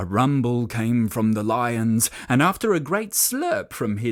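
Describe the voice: The clip consists of plain reading aloud.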